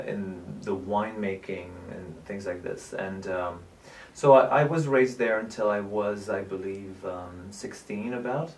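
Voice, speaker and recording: A man with a French accent speaks at a fairly slow pace in a fairly low voice, with ordinary pitch variation and big swings in loudness. Noticeable background noise and audible room echo fill the recording. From southern France, Nîmes. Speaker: actor, producer and director. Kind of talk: interview.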